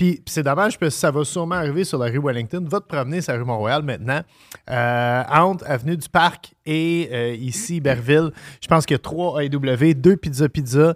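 A man with a plain, everyday voice, fairly high in pitch with ordinary pitch variation, at a moderate pace. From Montreal, Quebec. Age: 40s. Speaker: podcast host and chef. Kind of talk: casual chat.

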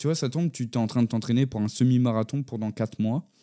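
A man's medium-pitched voice with a dark, mellow tone and fairly even intonation, in a dry, close sound with no echo on a very clean recording with a silent background. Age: 20s. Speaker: podcaster. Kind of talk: solo introspective monologue. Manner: stuttering; hesitant, many fillers.

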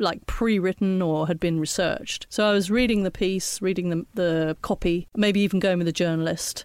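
In a very clean recording with a silent background, a woman speaks at medium pitch in an ordinary speaking voice. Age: 60s. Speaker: photographer. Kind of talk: interview.

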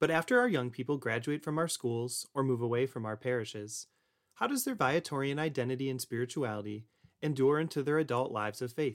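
A man speaks a little quickly in an ordinary speaking voice, his medium pitch rising and falling in an ordinary way. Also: very clean recording, silent background. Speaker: podcast host. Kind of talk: scripted intro and outro with interview.

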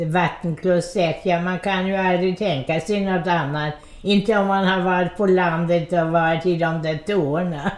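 The speech moves at a moderate pace with hardly any pauses, very even loudness and fairly even intonation. Noticeable background noise sits behind it. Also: woman, fairly low pitch for a woman. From Odessa, Ukraine. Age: 90s. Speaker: centenarian interviewee. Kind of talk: life story interview.

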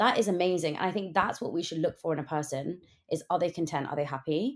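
A woman speaks at a very fast pace. Her pitch is fairly low. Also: very clean recording, silent background. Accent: British. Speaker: podcast host. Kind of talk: casual chat.

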